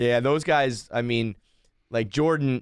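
A man speaks with a Northeastern US accent. The recording is very clean, with a silent background. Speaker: blogger and podcaster. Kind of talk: casual interview chat. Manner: animated, casual, profane.

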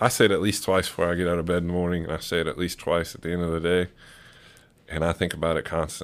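Over a very clean recording with a silent background, a man with a very deep, low voice talks at a very fast pace in a monotone, flat intonation. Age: 30s. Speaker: person in early addiction recovery. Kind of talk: casual chat. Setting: studio.

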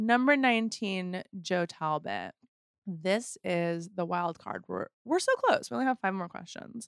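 A woman with a normal speaking voice talks at a medium pitch with lively intonation. The sound is dry and close, with no echo. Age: 40s. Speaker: podcast host. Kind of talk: casual interview chat.

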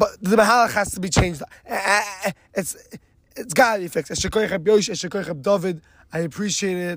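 This man speaks high in pitch, with an American accent. His pitch varies in an ordinary way, and long, frequent pauses break up his speech. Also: fairly slow pace. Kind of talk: casual storytelling.

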